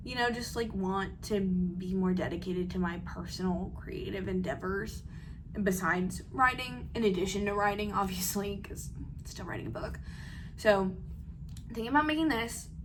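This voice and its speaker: There's noticeable background noise along with audible room echo. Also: woman. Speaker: aspiring novelist and book content creator. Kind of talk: casual vlog chat. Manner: fast; filler-heavy, lots of 'like'.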